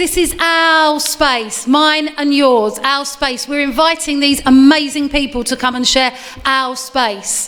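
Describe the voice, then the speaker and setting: A woman with an Essex accent speaks at a high pitch and a fairly slow pace. She leaves hardly any pauses, and there is noticeable background noise. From England, Essex. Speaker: event compere. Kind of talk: live event hosting. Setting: stage with audience. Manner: animated.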